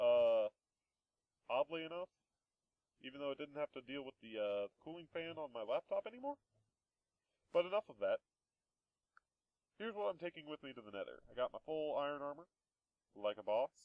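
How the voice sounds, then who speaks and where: A man's voice with big swings in loudness and long, frequent pauses. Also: fairly quick pace. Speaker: Minecraft let's play gamer. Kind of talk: gameplay commentary. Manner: softer than before; casual, hesitant with fillers.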